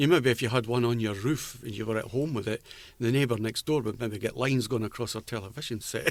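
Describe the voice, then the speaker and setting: Delivered at a very fast pace in an Edinburgh accent, the speech shows ordinary pitch variation. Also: man, medium pitch for a man. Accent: Scottish (Edinburgh). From Edinburgh, Scotland. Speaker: former butcher, CB radio enthusiast. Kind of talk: oral history interview answer.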